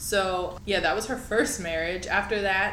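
A female speaker against noticeable background noise, with audible room echo. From New Orleans, Louisiana. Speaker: podcast host. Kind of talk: casual chat.

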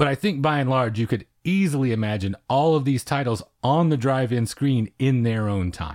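Recorded very clean against a silent background, with a dry, close sound and no echo, a man uses a plain, everyday voice at medium pitch and a moderate pace. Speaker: podcast host. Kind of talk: casual chat. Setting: studio.

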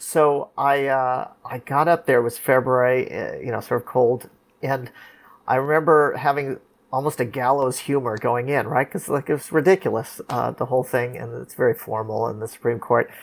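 With a Californian accent, a man talks at a moderate pace in fairly even intonation on a very clean recording with a silent background. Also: medium pitch for a man. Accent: General American, California. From Los Angeles. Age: 50s. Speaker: lawyer. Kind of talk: interview, storytelling.

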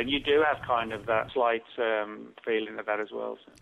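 Speaking at a fairly quick pace, a man with a British accent uses a medium pitch and ordinary pitch variation. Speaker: author. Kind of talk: interview.

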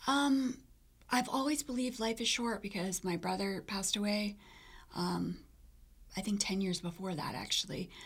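A somewhat breathy woman at medium pitch, moderate pace, ordinary pitch variation, and long, frequent pauses. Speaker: cardiac arrest survivor. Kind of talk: personal testimony.

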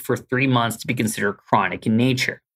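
This man has an American accent. He talks at a fairly quick pace. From Southern California, Los Angeles. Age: 40s. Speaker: sleep medicine doctor and professor. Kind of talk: interview, health advice. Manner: animated.

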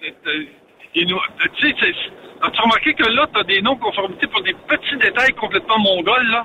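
An extremely high-pitched man's voice, very slow and lively in intonation, amid noticeable background noise. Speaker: trucking industry commentator. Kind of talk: casual chat.

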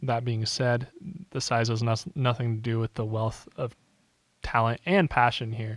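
Speaking at a moderate pace, a man with a medium-pitched, somewhat breathy voice sounds dry and close with no echo. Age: 20s. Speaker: radio host. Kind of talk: casual interview.

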